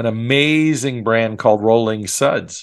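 A man speaks in a plain, everyday voice at a medium pitch, with ordinary pitch variation and a quiet background. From Long Island, New York. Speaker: franchise consultant. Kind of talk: interview.

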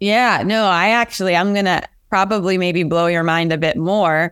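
With a Pennsylvania accent, a woman speaks at a fairly low pitch with ordinary pitch variation on a very clean recording with a silent background. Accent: American, Pennsylvania. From US, rural central Pennsylvania. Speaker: venture capital investor. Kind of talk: interview.

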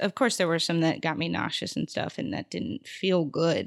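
Here a woman speaks at a moderate pace with an American accent. Her pitch is fairly low, and the recording is very clean with a silent background. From Arizona (Tucson), early childhood in Houston. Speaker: comedian and artist. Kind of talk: casual interview.

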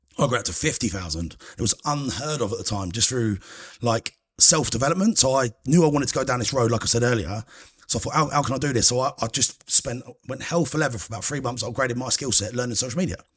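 A man with a southern English accent speaks very fast in a somewhat breathy, medium-pitched voice with ordinary pitch variation. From England, Cambridgeshire. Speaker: food critic. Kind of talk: casual chat.

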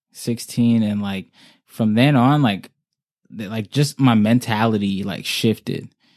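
A normal speaking voice with an American accent and fairly even intonation, on a very clean recording with a silent background. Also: man, medium pitch for a man, fairly slow pace. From Oxnard, California, US. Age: 20s. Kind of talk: casual chat. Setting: in person, sitting across from host.

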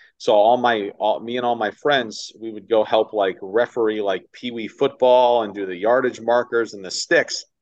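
A man with an American accent and an ordinary speaking voice talks at a medium pitch and moderate pace, with ordinary pitch variation, against a quiet background. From upstate New York (Ithaca). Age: 30s. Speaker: baseball radio play-by-play announcer. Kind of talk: casual interview chat. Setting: video call.

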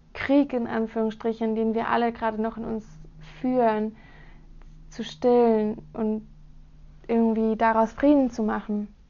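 At a fairly slow pace, a woman with a fairly high pitch and a dark, mellow tone speaks in a monotone, flat intonation. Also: quiet background. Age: 20s. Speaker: podcast host, student. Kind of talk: solo podcast introduction.

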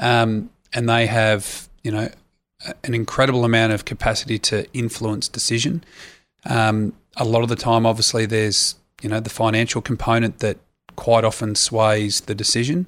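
With an Australian accent, a man of medium pitch speaks at a moderate pace with fairly even intonation on a very clean recording with a silent background. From Australia, Sydney. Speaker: retired rugby player. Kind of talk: interview. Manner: hesitant, many fillers.

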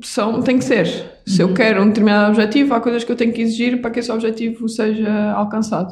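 A woman talks at a very fast pace with hardly any pauses, in a somewhat breathy, fairly high voice. Her intonation stays fairly even. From Portugal, Algarve (Vila Real de Santo António). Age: 20s. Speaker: doctor and padel athlete. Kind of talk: interview conversation.

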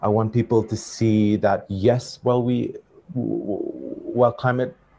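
With a dark, mellow tone, the man's voice sounds somewhat breathy. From Fiji. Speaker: climate activist and filmmaker. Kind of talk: panel discussion.

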